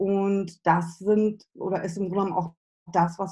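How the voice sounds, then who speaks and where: A woman's medium-pitched, somewhat breathy voice with a dark, mellow tone and fairly even intonation. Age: 40s. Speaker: business and spiritual coach. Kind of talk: interview.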